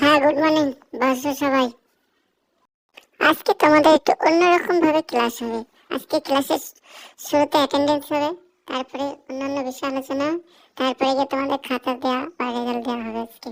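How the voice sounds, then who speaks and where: A woman uses a cartoonish character voice with a high pitch and fairly even intonation. She keeps a moderate pace, and the sound is dry and close with no echo. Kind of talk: comic cartoon voice acting. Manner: authoritative, lecturing.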